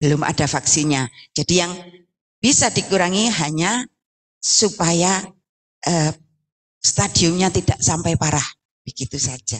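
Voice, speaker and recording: A woman speaks at a fairly slow pace, leaving long, frequent pauses. Her fairly low voice has lively intonation. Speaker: cancer support community leader. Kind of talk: welcome speech. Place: hall. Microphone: handheld.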